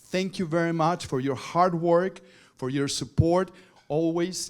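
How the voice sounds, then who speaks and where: Recorded very cleanly against a silent background, a man with a Spanish accent speaks at a moderate pace with ordinary pitch variation. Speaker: TV journalist and presenter. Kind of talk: award acceptance speech. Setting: stage at awards luncheon. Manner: halting.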